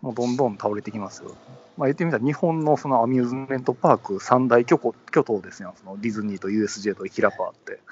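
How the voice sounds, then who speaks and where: Delivered at a very fast pace, the speech shows ordinary pitch variation. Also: man, medium pitch for a man, big swings in loudness. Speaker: podcast co-host. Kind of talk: casual chat. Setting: phone call from a train station platform.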